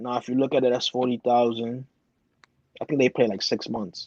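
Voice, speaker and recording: A man speaks in an animated tone. The sound is dry and close, with no echo. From Bronx, New York. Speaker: competitive video gamer. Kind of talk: casual chat. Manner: fast.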